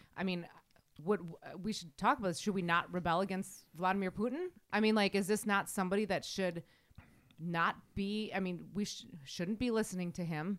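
A woman with a Wisconsin accent speaks at a moderate pace and medium pitch. Her pitch varies in an ordinary way, and the recording is very clean with a silent background. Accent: Wisconsin Midwestern. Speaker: podcast host. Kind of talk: casual chat.

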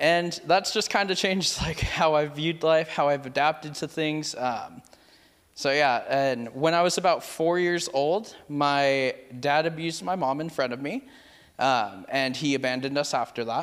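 In a normal speaking voice, a man talks at a moderate pace and fairly high pitch with ordinary pitch variation. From California, Merced. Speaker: youth pastor. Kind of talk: testimony.

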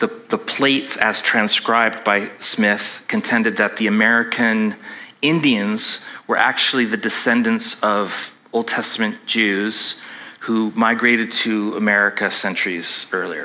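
Against noticeable background noise, a man with a Canadian accent speaks fairly slowly at a medium pitch, with fairly even intonation and very even loudness. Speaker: pastor. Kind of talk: sermon. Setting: church with congregation.

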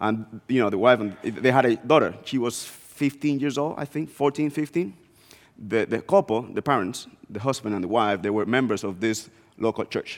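A man speaks in a Spanish accent at a moderate pace, with medium pitch and ordinary pitch variation. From Dominican Republic, small northeastern town. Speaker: guest preacher, missions executive. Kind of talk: sermon.

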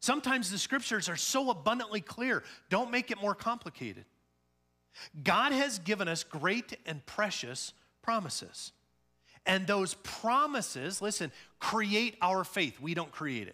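A man's raised, projected voice with an American accent, high in pitch with very wide pitch swings, at a moderate pace over music in the background. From Illinois, US Midwest. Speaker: pastor. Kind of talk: sermon. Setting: church.

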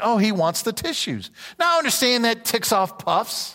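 A raised, projected voice with a bright, sharp tone. The recording is very clean, with a silent background. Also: man. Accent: American. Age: 50s. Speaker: pastor. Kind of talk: sermon. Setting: church.

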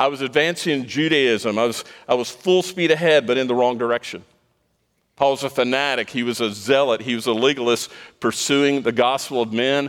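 A man with a normal speaking voice at medium pitch, fairly quick pace and ordinary pitch variation. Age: 60s. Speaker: pastor. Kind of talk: sermon. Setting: church.

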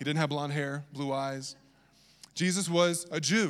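The man's pitch rises and falls in an ordinary way. He keeps a moderate pace. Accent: slight Southern US. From Virginia. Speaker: pastor. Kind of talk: sermon.

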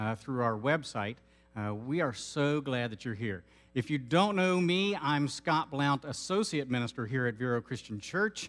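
With an American accent, a man talks at a moderate pace in a medium pitch, using lively intonation, a fairly bright tone, and few pauses.

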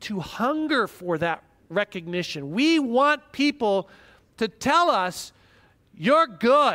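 A man in a raised, projected voice with a bright, sharp tone and lively intonation speaks at a very slow pace, with a dry, close sound with no echo and a very clean recording with a silent background. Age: 50s. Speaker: pastor. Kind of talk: sermon.

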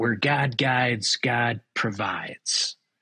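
A man puts on a raspy character voice at a medium pitch. He talks very slowly, with fairly even intonation. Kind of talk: sermonizing. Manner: pompous, preachy.

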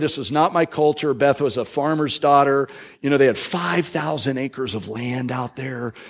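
A man with an American accent talks at a moderate pace in a normal speaking voice, his pitch fairly high. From Florida, US South. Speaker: pastor. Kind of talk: sermon.

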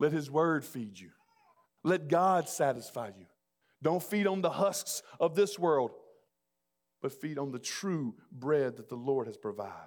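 With a Southern US accent, a man speaks at a fairly slow pace. His fairly high voice has lively intonation. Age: 40s. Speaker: pastor. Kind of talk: sermon.

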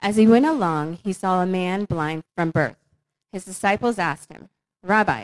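A woman speaks at a medium pitch. Her sound is dry and close, with no echo. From northern Virginia. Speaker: church member. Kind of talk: casual chat.

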